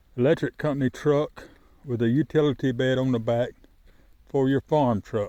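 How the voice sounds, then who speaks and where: A man's medium-pitched voice with a dark, mellow tone, fairly even intonation, and a dry, close sound with no echo. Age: 50s. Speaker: poultry farmer. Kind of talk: casual vlog talk to camera. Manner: halting, with fillers and restarts.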